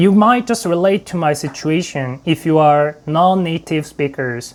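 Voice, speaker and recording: A man with a Korean accent speaks at a fairly high pitch. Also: ordinary pitch variation, fairly slow pace. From South Korea. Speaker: YouTuber. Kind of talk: tutorial.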